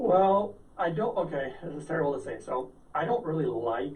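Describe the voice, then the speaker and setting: A man is speaking. Room echo can be heard. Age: 40s. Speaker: health product entrepreneur. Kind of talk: interview.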